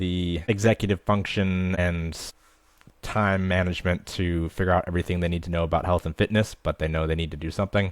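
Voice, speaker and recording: A man with an American accent talks at a fairly quick pace in a very deep, low pitch with monotone, flat intonation. The recording is very clean, with a silent background. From US Midwest. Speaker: fitness coach. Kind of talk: interview.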